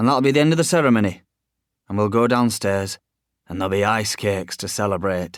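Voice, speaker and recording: Putting on a gruff character voice, a man speaks quite quickly in a fairly low pitch with ordinary pitch variation. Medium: read story.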